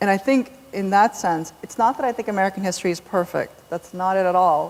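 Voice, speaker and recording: A woman is talking. She goes at a very fast pace. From South Korea, raised in US from age seven. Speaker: novelist. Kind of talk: onstage author conversation. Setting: stage with large audience.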